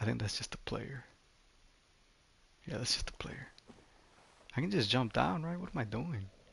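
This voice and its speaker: A man with a non-native accent speaks at a moderate pace and medium pitch, with vocal fry and very wide pitch swings. Long pauses come often. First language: not English. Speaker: gaming streamer. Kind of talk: casual livestream commentary. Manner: casual, many fillers.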